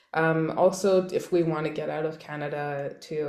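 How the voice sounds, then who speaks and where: A woman speaks with a very deep, low pitch in a flat monotone. Room echo is audible. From Montreal, Quebec. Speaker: stand-up comedian. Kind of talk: interview.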